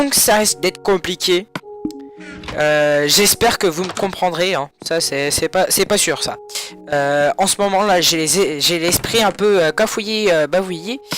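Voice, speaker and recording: A high-pitched man at a fairly slow pace, with ordinary pitch variation and music in the background. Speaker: gaming YouTuber. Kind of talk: gameplay commentary. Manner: soft-spoken.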